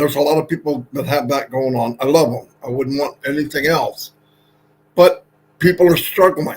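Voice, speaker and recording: This man keeps a moderate pace and fairly even intonation. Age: 60s. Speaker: network marketing promoter. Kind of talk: motivational pitch on a livestream.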